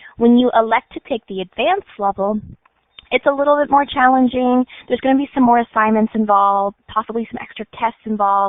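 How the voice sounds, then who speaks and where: A woman speaks in a fairly high voice at a fairly quick pace. Her pitch moves in an ordinary way. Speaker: school counselor. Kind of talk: presentation with slides. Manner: fast.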